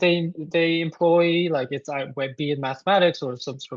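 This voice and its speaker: A man talks with a Korean accent and ordinary pitch variation. His pitch is high for a man, and the background is quiet. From South Korea. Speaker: composer. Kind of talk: interview. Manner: halting, many fillers.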